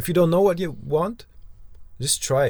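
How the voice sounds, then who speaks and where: A man is speaking. He has a non-native accent. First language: not English. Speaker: podcast host, van traveller. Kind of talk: casual chat. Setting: inside a parked van. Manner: halting, many repetitions.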